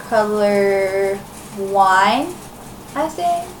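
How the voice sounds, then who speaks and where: A woman speaks over noticeable background noise with audible room echo. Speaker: crafting podcaster. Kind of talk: casual chat. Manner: rambling, many fillers.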